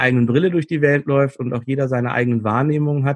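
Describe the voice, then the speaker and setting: A man with an ordinary speaking voice talks at a fairly quick pace with a medium pitch and ordinary pitch variation. The sound is dry and close with no echo, and the background is quiet. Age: 40s. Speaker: conflict coach and trainer. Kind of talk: interview.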